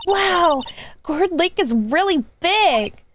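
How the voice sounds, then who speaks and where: The speaker uses a put-on character voice. The tone is bubbly and enthusiastic. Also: woman, extremely high pitch for a woman. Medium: virtual streamer. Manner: bubbly, enthusiastic.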